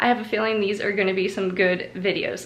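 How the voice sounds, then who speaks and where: Noticeable background noise behind a woman talking. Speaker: home cleaning YouTuber. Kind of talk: casual talk to camera intro. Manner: chatty, overwhelmed, enthusiastic.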